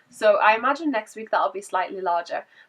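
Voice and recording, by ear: A woman's fairly bright tone at a fairly quick pace. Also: medium pitch for a woman, lively intonation.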